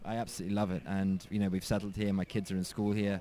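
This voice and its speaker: Speaking at a very fast pace with an English accent, a man has a fairly low pitch and a dark, mellow tone. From England. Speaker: cricket coach. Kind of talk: interview on live cricket commentary. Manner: halting, many fillers.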